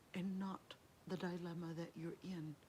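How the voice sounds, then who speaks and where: A woman's somewhat breathy voice with a warm, gentle tone at a very slow pace. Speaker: Islamic studies scholar and lecturer. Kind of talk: Islamic lecture, encouraging talk to camera. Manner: warm, gentle, soft-spoken.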